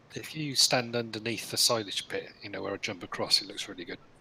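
Delivered at a very fast pace over noticeable background noise, the speech shows ordinary pitch variation and big swings in loudness. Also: man, medium pitch for a man. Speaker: gamer in group voice chat. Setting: online voice chat.

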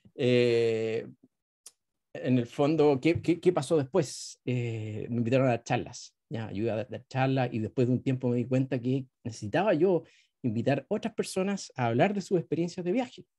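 A man with a Chilean accent, a dark, mellow tone, lively intonation and a moderate pace, in front of a quiet background. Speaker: travel blogger and moderator; travel blogger, moderator. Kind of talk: moderated presentation. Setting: video call. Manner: halting with many fillers. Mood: friendly, smiling. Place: home room. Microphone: video call.

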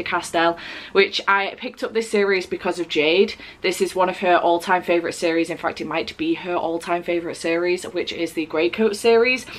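A woman talks at a moderate pace. Her intonation is fairly even. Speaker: book vlogger. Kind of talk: casual vlog chat. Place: home room.

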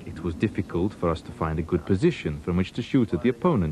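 Speaking very fast with lively intonation, a man has a very deep, low pitch and a somewhat breathy, dark, mellow tone. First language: German. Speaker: wartime fighter pilot. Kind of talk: archive interview recollection.

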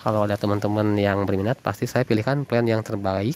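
A man with a fairly low pitch talks at a fairly quick pace in a warm, upbeat tone. The sound is dry with no echo, over light background noise. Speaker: orchid seller. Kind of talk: sales pitch. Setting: video recording of plants shown on camera. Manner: upbeat, fast-paced, repeating price and contact; warm, chatty, addressing viewers as friends. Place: garden. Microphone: phone near.

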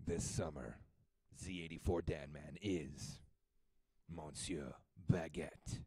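A man uses a put-on character voice that is raspy and very deep, low in pitch. He goes at a very slow pace with long, frequent pauses. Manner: grandiose, dramatic.

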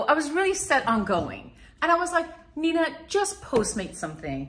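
Extremely high in pitch, a woman speaks with lively intonation. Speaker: YouTube vlogger and mother. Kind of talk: casual vlog chat. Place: home room. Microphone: phone near.

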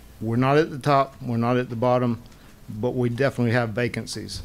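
A man speaks in a monotone, with flat intonation. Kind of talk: public meeting testimony. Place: hall. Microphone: podium.

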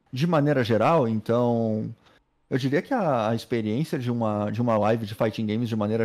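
A man with ordinary pitch variation, over a quiet background. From Brazil. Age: 30s. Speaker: pro gamer. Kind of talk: casual chat. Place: home room. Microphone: studio mic.

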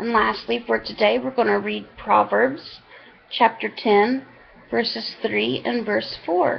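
Speaking at a very slow pace, a woman uses a fairly low pitch with very wide swings and vocal fry. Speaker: online Bible reader. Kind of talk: reading aloud. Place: home room. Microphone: webcam.

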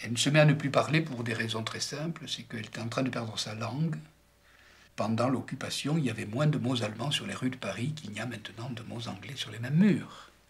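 There is noticeable background noise and audible room echo as a man talks at a fairly quick pace with ordinary pitch variation. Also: medium pitch for a man. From France. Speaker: writer. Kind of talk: discussion.

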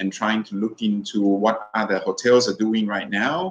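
A man with a Thai accent at a medium pitch and fairly slow pace, ordinary pitch variation, with light background noise. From Thailand. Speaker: hotel general manager; speaker. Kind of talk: webinar panel discussion. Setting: video call. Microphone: video call.

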